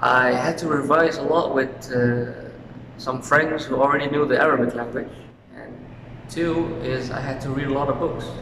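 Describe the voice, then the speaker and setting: Over noticeable background noise and audible room echo, a man with a Dutch accent speaks at a moderate pace in a fairly high pitch, his intonation monotone and flat. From Suriname. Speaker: university student. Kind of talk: interview. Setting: outdoors in front of university faculty.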